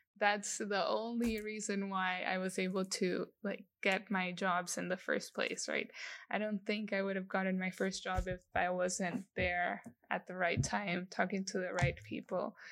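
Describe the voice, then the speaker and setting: Recorded very cleanly against a silent background, a woman speaks in a Spanish accent at a medium pitch. Her pace is fairly slow and her intonation monotone and flat. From El Salvador. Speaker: industrial designer. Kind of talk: interview.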